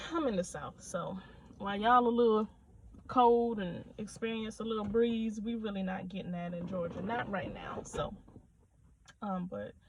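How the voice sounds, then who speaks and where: Her pace moderate, a woman speaks at a medium pitch with ordinary variation. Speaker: nail technician vlogger. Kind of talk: casual vlog rant. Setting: in a car. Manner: soft-spoken.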